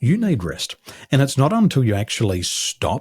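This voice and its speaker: On a very clean recording with a silent background and a dry, close sound with no echo, a man with an American accent speaks somewhat breathily at a medium pitch. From Australia. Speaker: business coach. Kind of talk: podcast interview. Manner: measured, easy to listen to.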